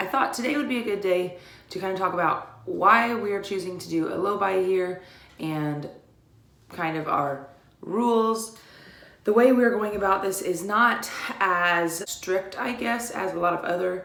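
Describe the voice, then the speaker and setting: A woman with a medium pitch and ordinary pitch variation talks at a moderate pace, with audible room echo and noticeable background noise. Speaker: YouTuber sharing debt-free journey. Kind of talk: casual vlog talk. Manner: hesitant, with fillers.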